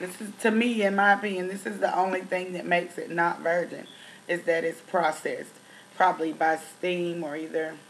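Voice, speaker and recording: Her voice is fairly low in pitch for a woman, with a Tennessee accent. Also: moderate pace. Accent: country (Tennessee). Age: 30s. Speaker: beauty vlogger. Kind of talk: product review vlog. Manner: casual, many fillers.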